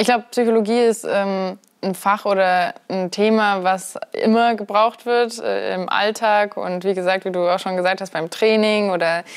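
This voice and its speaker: Over a quiet background, a woman speaks at a fairly slow pace with fairly even intonation. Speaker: interview guest. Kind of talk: interview answer. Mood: friendly, relaxed. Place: home room. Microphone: lapel.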